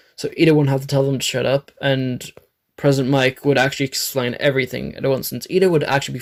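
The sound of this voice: Fairly even intonation from an unforced reading voice, the background quiet.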